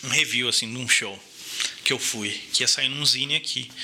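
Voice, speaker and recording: A man's speech proceeds at a moderate pace. Behind it, noticeable background noise can be heard. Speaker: podcast guest, designer. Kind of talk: casual chat.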